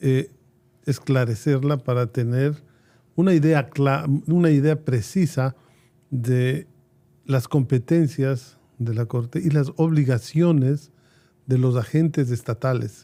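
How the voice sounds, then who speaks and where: A man speaks very slowly at a medium pitch, in a dark, mellow tone with ordinary pitch variation and long, frequent pauses. The recording is very clean, with a silent background. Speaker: jurist and law professor. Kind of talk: interview.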